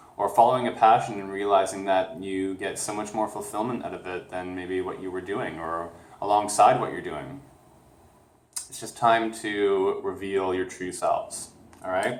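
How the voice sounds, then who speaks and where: A man with a fairly low pitch speaks at a moderate pace, with fairly even intonation and big swings in loudness. Audible room echo and noticeable background noise are present. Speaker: tarot card reader. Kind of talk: spiritual reading to camera. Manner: slurred words.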